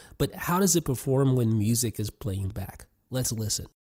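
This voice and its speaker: Lively intonation at a fairly quick pace, somewhat breathy. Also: man. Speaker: tech reviewer. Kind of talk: product review.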